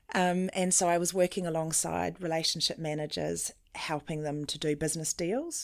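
A woman with a very deep, low voice speaks at a moderate pace with fairly even intonation on a very clean recording with a silent background. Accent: New Zealand. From New Zealand, Auckland. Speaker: mental well-being consultant. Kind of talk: interview.

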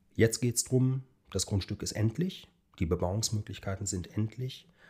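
A man speaks at a fairly low pitch and moderate pace, in a dark, mellow tone that is somewhat breathy. The recording is very clean, with a silent background. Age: 40s. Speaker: architect. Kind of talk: casual interview.

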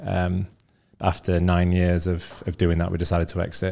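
This man's voice has a very deep, low pitch and moves at a fairly quick pace. The recording is very clean with a silent background. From northern England, Leeds. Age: 30s. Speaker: business founder. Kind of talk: casual interview.

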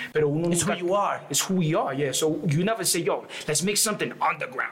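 Noticeable background noise sits behind a man's voice. He speaks at a fairly quick pace with ordinary pitch variation. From New York and Colombia. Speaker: rapper. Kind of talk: casual chat.

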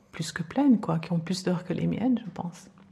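This is a woman's voice. Her pitch is fairly low. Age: 50s. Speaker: podcast guest. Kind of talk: interview. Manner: halting.

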